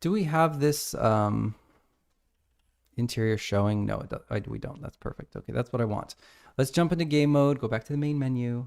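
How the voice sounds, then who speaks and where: A man's plain, everyday voice, medium in pitch, at a moderate pace with ordinary pitch variation. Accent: American. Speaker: indie game developer streaming his work. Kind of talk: live-stream work commentary. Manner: casual, talking to himself while working.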